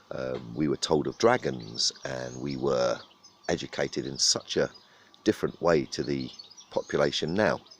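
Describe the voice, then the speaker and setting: A man speaks at a moderate pace in a very deep, low pitch with a southern English accent and ordinary pitch variation, over noticeable background noise. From southern England. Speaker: vlogger. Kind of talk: casual monologue. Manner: halting, many fillers.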